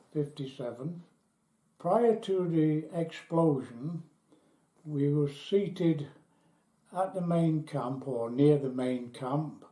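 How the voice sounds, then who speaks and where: A man's fairly high, dark and mellow voice at a very slow pace. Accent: English. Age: 80s+. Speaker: British nuclear test veteran. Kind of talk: testimony. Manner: halting.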